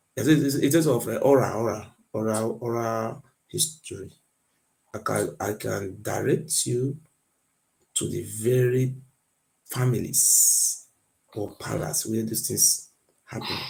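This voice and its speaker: A man with a non-native accent and vocal fry talks very slowly at medium pitch, with ordinary pitch variation and long, frequent pauses. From Nigeria, Benin area. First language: not English. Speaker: guest on a history debate. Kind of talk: heated debate. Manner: insistent, repetitive.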